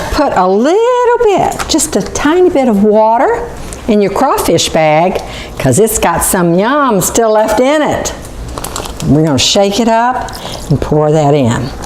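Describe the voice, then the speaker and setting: Audible room echo and noticeable background noise around a woman speaking at a fairly slow pace. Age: 60s. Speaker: cooking show host. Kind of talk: cooking demonstration. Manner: casual.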